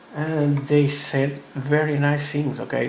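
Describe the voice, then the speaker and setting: A man's very slow speech with audible room echo and noticeable background noise. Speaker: scale modeler. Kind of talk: tutorial. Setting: live stream from a hobby store. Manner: halting.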